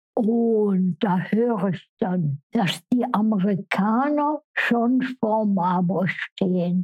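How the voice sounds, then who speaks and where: Somewhat breathy and medium in pitch, a woman's voice carries lively intonation. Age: 90s. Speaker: care home resident. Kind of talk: life story interview.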